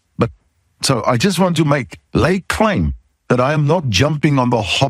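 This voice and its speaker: A man speaks with a South African accent and a somewhat breathy voice. The recording is very clean, with a silent background. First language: not English (English is third language). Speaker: podcast host, safety consultant. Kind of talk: podcast monologue.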